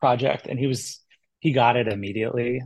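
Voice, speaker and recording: A man talks at a fairly quick pace. He has an unremarkable speaking voice at a medium pitch. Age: 30s. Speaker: comic book writer. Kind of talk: casual chat.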